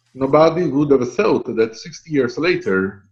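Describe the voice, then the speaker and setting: A man with an Italian accent, fairly high-pitched, at a moderate pace and with lively intonation. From Italy. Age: 50s. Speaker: professor. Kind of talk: lecture.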